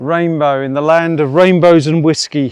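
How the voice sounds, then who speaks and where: Intonation stays fairly even as a man speaks with an English accent. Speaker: hiking vlogger. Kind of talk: outdoor vlog narration. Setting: outdoors on a hiking trail.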